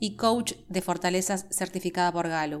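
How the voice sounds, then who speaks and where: A woman with a porteño accent talks at a moderate pace in a medium pitch. Her intonation stays fairly even. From Buenos Aires, Argentina. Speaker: podcast host, HR professional. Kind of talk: scripted monologue.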